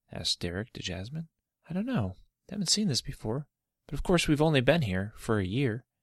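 A man with an American accent talks at a fairly quick pace, somewhat breathy, in a fairly high pitch that swings very widely. The sound is dry and close, with no echo. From Michigan. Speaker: children's storyteller podcaster. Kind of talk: reading aloud a children's story.

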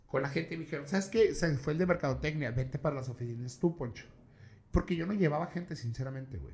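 A man talks at a very fast pace. His voice is fairly high and somewhat breathy. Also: ordinary pitch variation. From Mexico, Tijuana. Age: 30s. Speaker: events promoter and podcaster. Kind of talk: casual chat.

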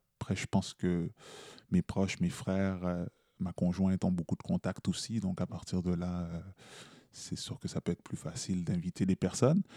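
A man speaks in a very deep, low pitch with a dark, mellow tone and fairly even intonation, at a moderate pace with long, frequent pauses. The recording is very clean with a silent background and a dry, close sound with no echo. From Montreal, Quebec (Haitian parents). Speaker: slam poet. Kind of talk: interview.

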